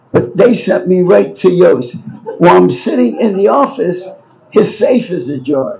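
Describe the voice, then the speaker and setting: A man talks with a Baltimore accent. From Baltimore, Maryland, US. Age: 80s+. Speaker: businessman and book subject. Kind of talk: storytelling. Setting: bookshop event with live audience. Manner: rambling, halting.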